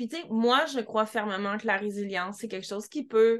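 Against a quiet background, a woman with a Quebec accent speaks at a fairly high pitch with fairly even intonation. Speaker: podcast host, dog trainer. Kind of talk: interview.

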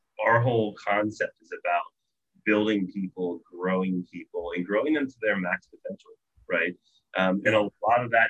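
A man with an American accent, at a moderate pace. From Virginia, US East Coast. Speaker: software company owner. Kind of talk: casual interview chat.

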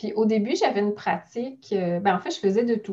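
A woman talks at a moderate pace with medium pitch and ordinary pitch variation. Her tone is dark and mellow, and somewhat breathy. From Quebec, Mont-Saint-Hilaire (south shore of Montreal). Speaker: notary. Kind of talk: interview conversation.

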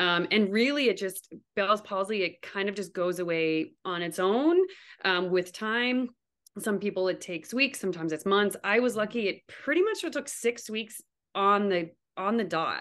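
A woman with a Canadian accent has an unremarkable speaking voice, medium pitch and ordinary pitch variation, talking at a moderate pace against a quiet background. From Canada, New Brunswick. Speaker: physical therapist and new mother. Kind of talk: interview, personal birth story.

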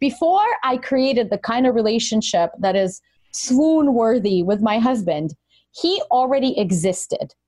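With a Russian accent, a woman speaks in a dark, mellow tone at a fairly high pitch, her pitch swinging very widely while her loudness stays very even. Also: moderate pace. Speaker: life coach. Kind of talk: interview.

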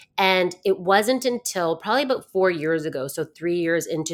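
A woman in a normal speaking voice, fairly slow in pace, with lively intonation. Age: 40s. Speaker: fitness and mindset coach. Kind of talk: casual interview chat.

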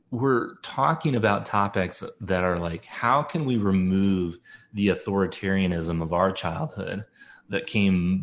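A plain, everyday voice from a man, fairly low and fairly slow, with ordinary pitch variation on a very clean recording with a silent background. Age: 40s. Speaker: homeschooling parent and parenting writer. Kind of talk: interview.

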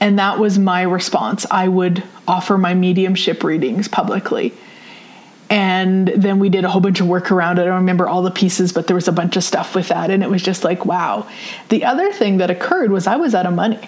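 Speaking at a fairly quick pace with a Canadian Prairie accent, a woman keeps a medium pitch, fairly even intonation and very even loudness against noticeable background noise. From Saskatchewan, Canada. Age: 40s. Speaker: podcast host and spiritual teacher. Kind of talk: personal storytelling monologue. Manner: casual, with frequent fillers.

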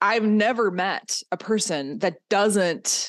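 A woman with a fairly high pitch and lively intonation speaks in an unremarkable speaking voice against a quiet background. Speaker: podcast host and art coach. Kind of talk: solo podcast monologue, personal storytelling. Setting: Zoom call recording in part. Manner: casual, chatty, laughs often.

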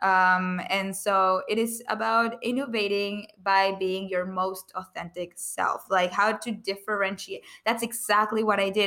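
With a non-native accent, a woman talks at a fairly slow pace and medium pitch, her tone bright and sharp and her intonation monotone and flat. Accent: foreign-accented English. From outside the US. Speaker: public speaker and author. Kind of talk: podcast interview.

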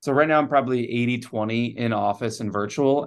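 A normal speaking voice from a man of medium pitch, at a moderate pace with fairly even intonation, over a quiet background. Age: young. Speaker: chiropractor. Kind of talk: podcast interview.

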